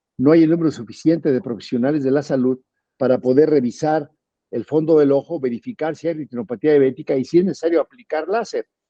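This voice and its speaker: A man's fairly high voice at a very fast pace. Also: ordinary pitch variation. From Mexico. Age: 60s. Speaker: politician and physician. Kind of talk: interview.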